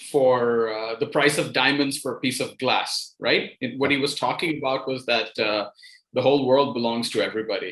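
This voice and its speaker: A man with an American accent talks at medium pitch and a moderate pace. He has an ordinary speaking voice and fairly even intonation. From New York City, raised by Indian parents. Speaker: writer. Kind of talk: interview.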